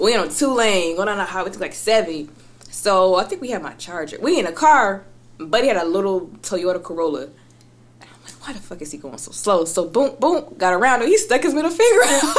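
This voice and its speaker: Pitched at a medium level, this woman's voice swings very widely in pitch and heavily in loudness. Background noise is noticeable. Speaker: rapper. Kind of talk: casual chat.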